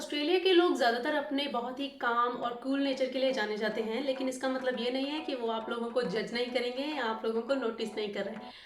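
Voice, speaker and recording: A high female voice at a moderate pace, with hardly any pauses, ordinary pitch variation and audible room echo. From India. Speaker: vlogger. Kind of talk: casual vlog tips. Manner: code-switching Hindi and English.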